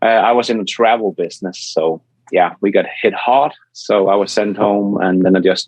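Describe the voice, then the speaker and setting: A man speaks with a Danish accent at a moderate pace, his pitch fairly low. His intonation is fairly even and his loudness very even. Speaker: EV YouTuber. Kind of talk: podcast interview.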